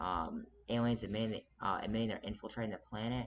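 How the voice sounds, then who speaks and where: This is a man speaking. He goes at a very fast pace. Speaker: video channel creator. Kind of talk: monologue video commentary.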